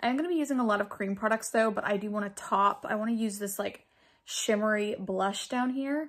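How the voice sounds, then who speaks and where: Quietly, a woman talks at a fairly quick pace, her fairly high pitch showing ordinary variation. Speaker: beauty vlogger. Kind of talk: makeup tutorial. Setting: at home, living room. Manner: casual, chatty.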